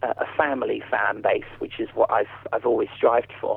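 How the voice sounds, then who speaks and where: A man in a southern English accent, talking at a moderate pace. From southern England. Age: 40s. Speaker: ventriloquist. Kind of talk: interview.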